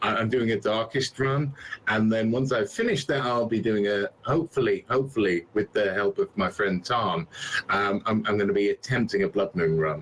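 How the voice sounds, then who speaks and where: A man with a West Midlands accent speaks at a medium pitch with ordinary pitch variation and very even loudness over noticeable background noise. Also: moderate pace. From England, West Midlands. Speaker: game streamer. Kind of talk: casual interview chat.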